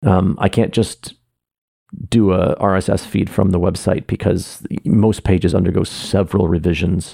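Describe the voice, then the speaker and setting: A man's very deep, low voice in a dark, mellow tone with fairly even intonation. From Canada. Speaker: artist and theater maker podcasting personal updates. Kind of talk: personal monologue update. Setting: home office room. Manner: lowered pitch, close to mic. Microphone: echoey room, very close to mic.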